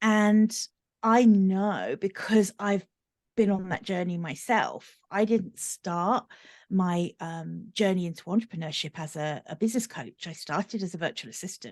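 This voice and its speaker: A woman with a medium-pitched voice speaks at a fairly slow pace, with ordinary pitch variation and big swings in loudness. The sound is dry and close with no echo, over a quiet background. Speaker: business coach. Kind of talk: podcast interview.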